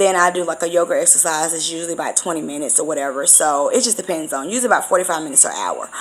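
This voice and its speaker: Talking at a very fast pace, a woman uses a fairly low pitch with ordinary pitch variation. Noticeable background noise is present. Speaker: spiritual vlogger and medium. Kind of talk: casual vlog monologue.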